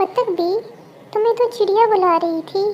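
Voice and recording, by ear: Over clear background noise, a woman does an extremely high, squeaky cartoonish character voice with fairly even intonation at a moderate pace.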